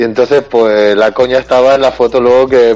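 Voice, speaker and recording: Amid noticeable background noise, a medium-pitched man speaks at a moderate pace with fairly even intonation. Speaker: podcast co-host. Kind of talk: casual chat.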